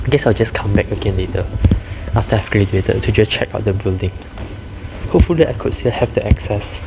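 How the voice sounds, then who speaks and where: The speaker talks at a very fast pace, yet leaves long, frequent pauses. Background noise is noticeable. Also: man, fairly low pitch for a man, ordinary pitch variation. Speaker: university student vlogger. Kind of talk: vlog walking tour. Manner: casual; whispering.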